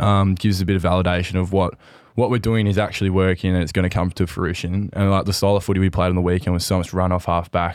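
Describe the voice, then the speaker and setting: On a very clean recording with a silent background, a man speaks at a very fast pace in a very deep, low pitch. His delivery is monotone and flat, with very even loudness. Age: 20s. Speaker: footballer and podcast co-host. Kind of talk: casual chat. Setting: studio.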